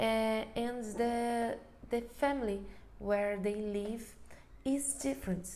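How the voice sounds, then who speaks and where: A woman with a Brazilian accent speaks at a very slow pace with long, frequent pauses, a fairly high pitch, a dark, mellow tone and fairly even intonation, with audible room echo. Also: very even loudness. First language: Portuguese. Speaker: occupational therapist. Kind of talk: webinar presentation. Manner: halting.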